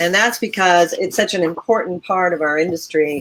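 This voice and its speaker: At a moderate pace, a woman speaks with an ordinary speaking voice and ordinary pitch variation. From Connecticut, US. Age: 60s. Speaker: magazine publisher. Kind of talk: interview.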